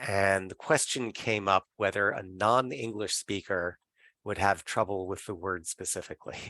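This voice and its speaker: In an unremarkable speaking voice, a man talks at a moderate pace with fairly low pitch and fairly even intonation, the sound dry and close with no echo. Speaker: meeting moderator. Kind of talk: online work meeting discussion.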